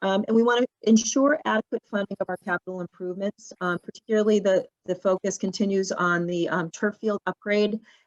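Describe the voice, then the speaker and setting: Against a quiet background, a woman with a medium pitch talks at a fairly quick pace with fairly even intonation. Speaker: school administrator presenting budget. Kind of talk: budget presentation at board meeting. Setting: live-streamed school board meeting. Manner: halting, many fillers and restarts.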